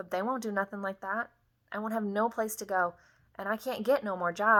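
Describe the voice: A plain read-aloud passage, its intonation fairly even.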